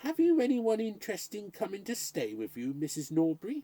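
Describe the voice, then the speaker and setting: A fairly quick, fairly high put-on character voice with very wide pitch swings. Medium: read story. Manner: mild, placating.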